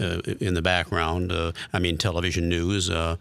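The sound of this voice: With vocal fry and a fairly bright tone, a man speaks low at a moderate pace.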